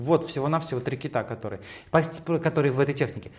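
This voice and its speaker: Somewhat breathy and fairly high-pitched, a man talks very fast with ordinary pitch variation. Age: 50s. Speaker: hairdresser and stylist. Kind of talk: interview. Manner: animated.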